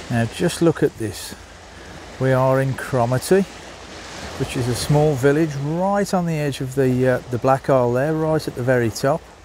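The speaker keeps a moderate pace. The sound is dry with no echo, with noticeable background noise. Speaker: vlogger. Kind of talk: casual vlog chat. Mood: cheerful, admiring. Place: waterside. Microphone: phone near.

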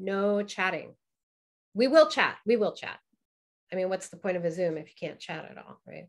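Against a quiet background, a woman at medium pitch speaks at a moderate pace with lively intonation, big swings in loudness, and long, frequent pauses. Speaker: burlesque teacher. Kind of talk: online presentation with Q&A. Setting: video call. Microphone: video call.

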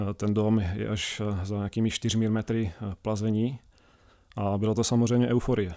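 A man talks at a moderate pace in a fairly low, dark, mellow voice with monotone, flat intonation. Behind him the background is quiet. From Czech Republic. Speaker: speleologist, caving club chairman. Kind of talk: radio interview. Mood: calm, engaged. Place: studio. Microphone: studio mic.

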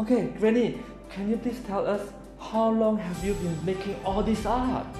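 The delivery keeps a moderate pace over clear music in the background. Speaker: host of a craft discovery video. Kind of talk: upbeat presenter talk to camera. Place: home room. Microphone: phone near.

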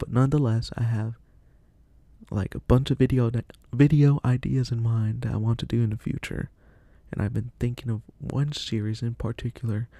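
A soft-spoken man with a medium pitch talks in a dark, mellow tone that is somewhat breathy and monotone, with flat intonation. The sound is dry with no echo against a quiet background. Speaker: vlogger; solo podcaster. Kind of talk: casual monologue; casual podcast monologue. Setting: at family's house. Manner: halting. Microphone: new mic, equalized; studio mic.

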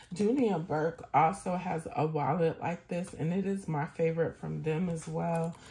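At a fairly slow pace, a woman speaks in a fairly low, somewhat breathy voice with ordinary pitch variation. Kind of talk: casual product review monologue. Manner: animated.

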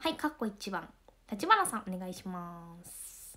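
In a put-on character voice, a woman speaks at a moderate pace and medium pitch, with very wide pitch swings. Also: big swings in loudness. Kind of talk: formal, classroom instruction.

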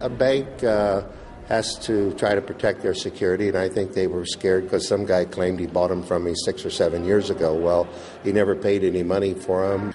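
Against music in the background, a man speaks at a fairly quick pace and fairly low pitch, keeping his intonation fairly even and his loudness very even. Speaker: auctioneer being interviewed. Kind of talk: interview answer. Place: hall. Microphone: handheld.

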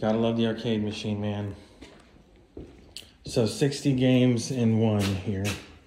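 Fairly slow delivery with ordinary pitch variation over noticeable background noise. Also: man. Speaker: property owner host. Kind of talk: casual property tour commentary. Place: home room. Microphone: phone near.

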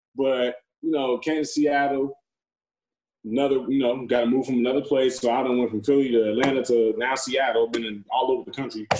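A man speaks at a fairly quick pace with an American accent. His intonation is monotone and flat. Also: medium pitch for a man. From Gary, Indiana. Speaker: professional football player. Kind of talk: casual interview. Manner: talkative.

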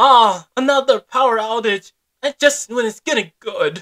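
A cartoonish character voice with a fairly high pitch moves along at a moderate pace.

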